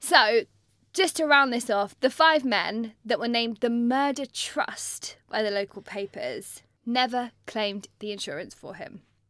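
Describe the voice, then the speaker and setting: A woman with a British accent speaks at a high pitch and a fairly slow pace. Her intonation is lively, and her loudness swings widely. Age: 30s. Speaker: podcast co-host. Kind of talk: casual chat. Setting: studio.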